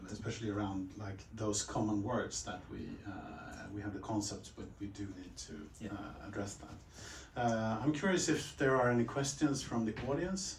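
Speaking with a Swedish accent, a man talks at a moderate pace and a fairly low pitch with ordinary pitch variation. Audible room echo and light background noise come through. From Sweden. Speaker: interviewer, company representative; interviewer. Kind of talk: panel moderation. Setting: meeting room with audience. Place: meeting room.

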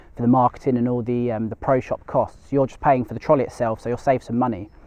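A man's voice is recorded with a dry sound and no echo. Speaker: magazine equipment reviewer. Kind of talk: product review to camera. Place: open country. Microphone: lapel.

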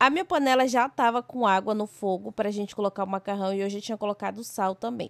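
A woman speaks at a very fast pace with hardly any pauses, medium pitch and ordinary pitch variation. The recording is very clean, with a silent background and a dry, close sound with no echo. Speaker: cooking vlogger. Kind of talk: cooking tutorial vlog narration. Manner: casual, chatty.

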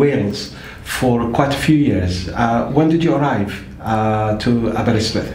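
Speech comes at a moderate pace with audible room echo and light background noise. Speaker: interviewer. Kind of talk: interview. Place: home room.

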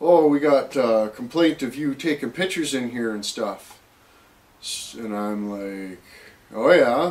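A man speaks at a fairly slow pace with lively intonation. His loudness swings a lot. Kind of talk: casual vlog chat. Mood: annoyed, storytelling. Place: garage. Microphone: camera far.

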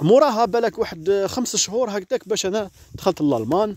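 The sound is dry and close, with no echo. A man talks in a dark, mellow tone. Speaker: vlogger. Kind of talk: storytelling vlog. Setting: outdoors in a forest.

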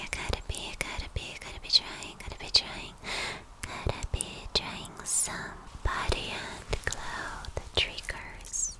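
Whispering from a woman, at a fairly slow pace. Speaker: ASMR creator. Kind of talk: ASMR girlfriend role play. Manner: soft-spoken, slow, repetitive. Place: home room. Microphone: studio mic.

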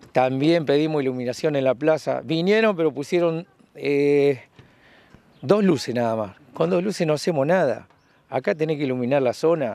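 Here a man speaks at a moderate pace with ordinary pitch variation. The sound is dry with no echo. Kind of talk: interview answer. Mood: complaining, frustrated. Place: street. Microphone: handheld.

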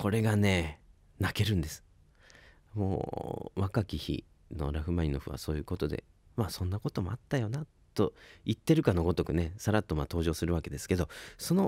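Over a quiet background, a man speaks at a fairly quick pace in a very deep, low pitch with a dark, mellow tone, ordinary pitch variation and a dry sound with no echo. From Ibaraki, Japan; Japan. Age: 20s. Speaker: saxophonist and radio host; radio host. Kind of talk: radio talk show. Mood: enthusiastic, relaxed storytelling. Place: studio. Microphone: studio mic.

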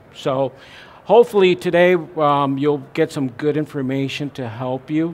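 Pitch moves in an ordinary way. The speaker keeps a fairly slow pace. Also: man. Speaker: presenter. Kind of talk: seminar lecture. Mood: friendly, relaxed. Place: hall.

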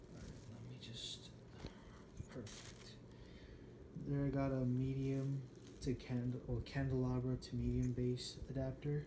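A man speaks at a fairly slow pace in a monotone, flat intonation, with long, frequent pauses. His tone is dark and mellow, somewhat breathy, with noticeable background noise. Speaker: hobbyist reviewer. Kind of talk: casual talk to camera. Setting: indoors in a bedroom at night. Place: home room. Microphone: phone near.

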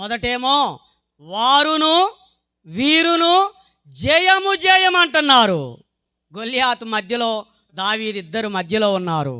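A man speaks in a raised, projected voice at an extremely high pitch. His tone is bright and sharp, with very wide pitch swings. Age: 40s. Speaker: preacher. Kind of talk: sermon. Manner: emphatic, repetitive.

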